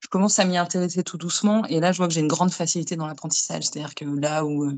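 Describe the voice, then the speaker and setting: A woman talks very fast at a fairly low pitch with fairly even intonation. Her loudness swings widely. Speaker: medium and tarot reader. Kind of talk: interview.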